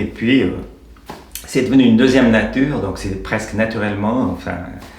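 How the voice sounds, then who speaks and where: Through noticeable background noise and audible room echo, a man speaks at a medium pitch with ordinary pitch variation. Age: 60s. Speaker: retired volunteer walking group leader. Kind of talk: interview testimony. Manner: halting.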